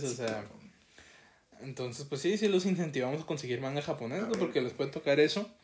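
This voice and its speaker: A very fast pace and fairly high pitch from a man, against noticeable background noise. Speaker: podcast co-host. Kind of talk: casual chat.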